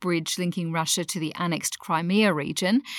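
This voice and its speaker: The speaker talks at a moderate pace in an upbeat tone. They have an Australian accent. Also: woman. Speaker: news podcast co-host. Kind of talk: newsreading, a polished morning news briefing, fluent and conversational. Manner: clear, brisk and upbeat.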